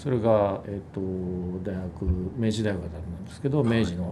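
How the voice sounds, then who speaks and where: A man talks at a moderate pace, and audible room echo can be heard around his voice. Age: 50s. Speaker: music company executive. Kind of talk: casual chat. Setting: office.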